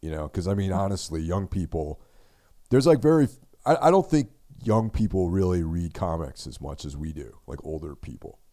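A man's very deep, low voice with a dark, mellow tone, lively intonation, big swings in loudness and a fairly quick pace on a very clean recording with a silent background. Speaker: horror podcast co-host. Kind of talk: casual chat. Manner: low energy.

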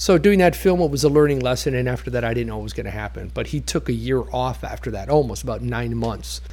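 A man's very fast speech with hardly any pauses. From Toronto, Canada (Greek immigrant family). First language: Greek. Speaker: former actor's stand-in. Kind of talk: interview storytelling.

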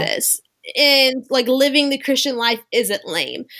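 Her voice is raised and projected, with a high pitch and a bright, sharp tone. The woman speaks at a very slow pace. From US South, Louisiana near New Orleans. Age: 20s. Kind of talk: casual interview chat.

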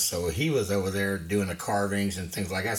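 Noticeable background noise surrounds a man whose pitch is fairly low. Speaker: craftsman, retired. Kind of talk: interview. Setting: studio.

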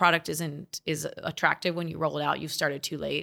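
A woman with an American accent talks at a fairly quick pace. Her fairly low voice carries vocal fry. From Las Vegas, Nevada. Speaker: adjunct professor and media company founder. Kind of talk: casual interview.

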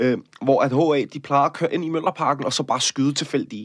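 A man talks at a fairly quick pace with a fairly high pitch and monotone, flat intonation. The sound is dry and close with no echo, on a very clean recording with a silent background. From Denmark, Copenhagen area. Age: 30s. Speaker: actor and activist. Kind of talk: interview.

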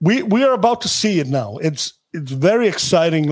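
An Icelandic accent on a very clean recording with a silent background. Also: man. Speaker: sports agent. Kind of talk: interview.

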